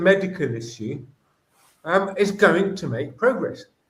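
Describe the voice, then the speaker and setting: Recorded with audible room echo, a man with a high pitch talks at a fairly slow pace, his pitch swinging very widely. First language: Greek. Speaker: educator. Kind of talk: interview. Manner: animated.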